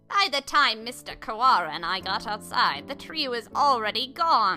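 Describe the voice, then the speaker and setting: Faint music plays in the background as a female-sounding put-on character voice, fairly high in pitch, goes at a moderate pace. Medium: game stream. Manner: formal, measured.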